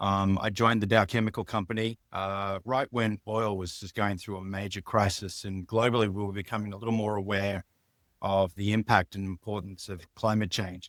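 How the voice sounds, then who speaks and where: Spoken at a moderate pace in an Australian accent, the voice stays monotone and flat, with a dry, close sound, no echo, and a very clean recording over a silent background. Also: man, fairly low pitch for a man. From Australia, outback (Mount Isa). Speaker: biotech business executive. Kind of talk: interview.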